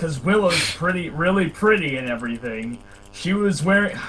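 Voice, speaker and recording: Putting on a character voice, a man talks at a moderate pace in a high pitch with lively intonation over clear background noise. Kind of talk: mocking dramatic reading. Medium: read story. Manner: overwrought, exaggerated.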